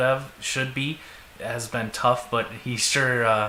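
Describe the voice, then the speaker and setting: A man with a Minnesotan accent speaks at a very slow pace in a medium pitch, with monotone, flat intonation. Audible room echo and noticeable background noise are present. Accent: Minnesota. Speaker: sports fan podcast co-host. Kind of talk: casual chat.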